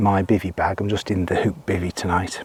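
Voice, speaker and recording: A man speaks quietly over noticeable background noise, the sound dry and close with no echo. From UK. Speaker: outdoor vlogger. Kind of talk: casual vlog narration. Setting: outdoors.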